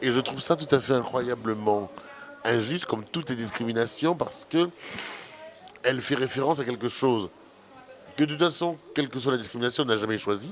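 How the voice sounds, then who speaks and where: Over noticeable background noise, a man speaks fairly quickly in a medium pitch with ordinary pitch variation, leaving long, frequent pauses. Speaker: filmmaker, anti-fatphobia activist. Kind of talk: radio interview.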